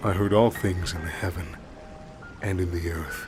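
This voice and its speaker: A man with a very deep, low pitch speaks over music in the background. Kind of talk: scary story reading, bedtime narration.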